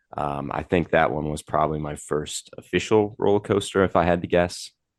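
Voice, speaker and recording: Very deep and low, a man's voice carries an American accent at a fairly quick pace. His pitch varies in an ordinary way. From US Midwest, Milwaukee area, Wisconsin. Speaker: content creator, coaster enthusiast. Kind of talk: podcast interview.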